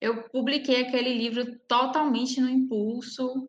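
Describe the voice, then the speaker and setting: The woman's voice sits at a high pitch. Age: 20s. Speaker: poet. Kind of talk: casual chat.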